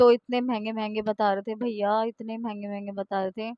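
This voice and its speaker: A woman speaks at a fairly slow pace in a fairly high voice. Her intonation is flat and monotone, and the sound is dry and close with no echo. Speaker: vlogger. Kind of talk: casual vlog. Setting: outdoors at market.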